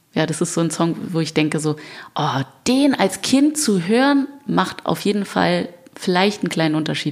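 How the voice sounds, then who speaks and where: Over noticeable background noise, a woman with a fairly low voice speaks at a moderate pace, her pitch swinging very widely while her loudness stays very even. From Germany. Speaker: singer. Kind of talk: interview chat. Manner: animated.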